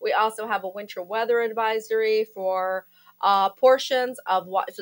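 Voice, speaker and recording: Loud and fairly high-pitched, a woman talks with fairly even intonation. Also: dry, close sound with no echo. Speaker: meteorologist. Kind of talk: weather forecast. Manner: casual, chatty.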